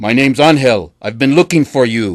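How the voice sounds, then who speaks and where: In a put-on character voice, the speaker growls at a moderate pace. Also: man. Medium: read story. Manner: gruff, plainspoken.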